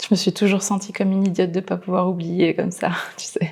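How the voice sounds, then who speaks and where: A woman talks at a very fast pace with medium pitch. Her intonation is monotone and flat. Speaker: actress. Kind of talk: film and TV drama scenes. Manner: wistful, confiding.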